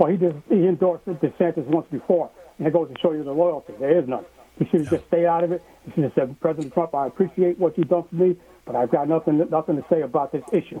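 With an American accent, the speaker talks very fast using ordinary pitch variation. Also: man, fairly high pitch for a man. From Missouri. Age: middle-aged. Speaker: caller. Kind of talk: call-in chat. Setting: phone call.

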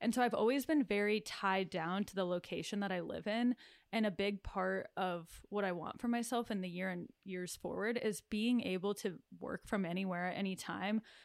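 With an American accent and a normal speaking voice, a woman talks at a moderate pace and medium pitch with ordinary pitch variation. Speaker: podcast co-host and shop owner. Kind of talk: casual chat.

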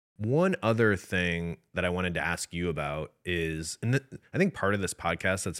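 With an American accent, a man with a very deep, low voice speaks at a moderate pace and ordinary pitch variation on a very clean recording with a silent background. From US Midwest. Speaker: podcast co-host. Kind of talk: casual chat. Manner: frequent filler word like.

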